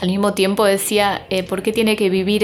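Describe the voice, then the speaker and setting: A woman speaks at a medium pitch with monotone, flat intonation. Noticeable background noise can be heard. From Argentina. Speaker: documentary filmmaker. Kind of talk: interview. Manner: hesitant, many fillers.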